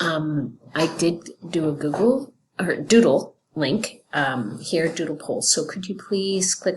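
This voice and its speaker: A soft-spoken woman with lively intonation. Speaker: teacher. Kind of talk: recorded class announcement. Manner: soft-spoken, keeping voice down.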